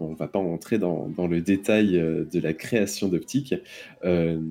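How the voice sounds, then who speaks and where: A man with a dark, mellow tone speaks at a fairly slow pace in a very clean recording with a silent background. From France, Versailles. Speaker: photographer. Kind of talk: casual chat. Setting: WhatsApp call.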